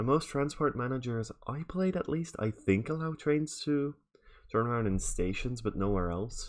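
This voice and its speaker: A man's lively intonation carries his speech along at a moderate pace. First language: Dutch. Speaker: video game streamer. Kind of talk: live gameplay stream commentary. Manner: casual, thinking aloud with fillers.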